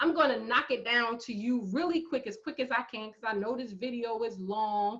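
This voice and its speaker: A woman with a slight New Jersey accent, fairly high in pitch with ordinary pitch variation and an animated tone, at a moderate pace with hardly any pauses. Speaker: math professor. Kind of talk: lecture. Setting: screen-share video lecture.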